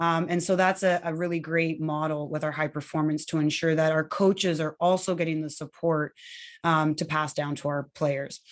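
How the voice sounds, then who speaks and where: A woman's fairly low-pitched voice with ordinary pitch variation and a fairly quick pace. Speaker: youth hockey program coordinator. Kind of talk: online parent information meeting. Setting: video call. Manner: fast.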